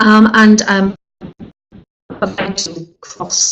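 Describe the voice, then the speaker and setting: The speaker is a woman. She talks with a Welsh accent. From Wales. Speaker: funeral director and quality inspector. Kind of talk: webinar presentation. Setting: online webinar. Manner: hesitant, many fillers.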